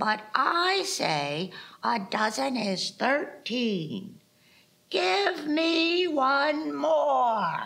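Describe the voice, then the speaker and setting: In a put-on character voice, a woman speaks at a very slow pace and a high pitch with very wide pitch swings, keeping her loudness very even. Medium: stage play. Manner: firm, insistent.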